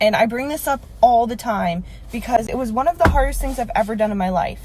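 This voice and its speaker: A woman's fairly high, somewhat breathy voice, with lively intonation at a fairly quick pace. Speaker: vlogger. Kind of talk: casual rant. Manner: animated.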